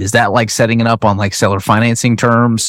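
A man with a plain, everyday voice speaks at a fairly low pitch with fairly even intonation on a very clean recording with a silent background. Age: 30s. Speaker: podcast host. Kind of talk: interview.

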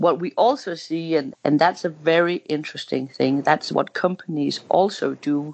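A woman with a Danish accent at a moderate pace, over noticeable background noise. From Denmark, western Jutland. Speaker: head of a gender equality organisation. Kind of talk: interview.

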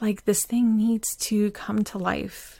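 This woman speaks at a fairly slow pace and a medium pitch. Her voice is somewhat breathy, with a calm, dark, mellow tone. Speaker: podcast host. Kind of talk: solo podcast monologue, reflective. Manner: calm, reflective, slightly halting.

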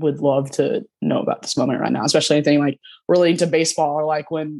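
A woman speaks at a fairly quick pace in a very deep, low voice, her intonation staying fairly even. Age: 20s. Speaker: suicide loss survivor. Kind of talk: casual chat.

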